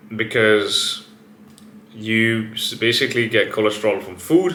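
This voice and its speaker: An animated man at a moderate pace, with audible room echo. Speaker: fitness and biohacking YouTuber. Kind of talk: casual vlog monologue.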